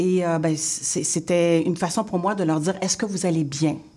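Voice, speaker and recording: A woman's fairly low voice, a normal speaking voice, at a fairly slow pace. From Haitian heritage, Quebec. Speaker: interior designer and teacher. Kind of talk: radio interview.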